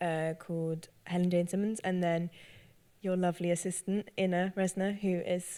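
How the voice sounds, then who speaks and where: In a British accent, a woman with a fairly low pitch speaks at a fairly slow pace in a monotone, flat intonation. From northern England. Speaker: actor and cellist. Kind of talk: panel discussion. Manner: hesitant, many fillers.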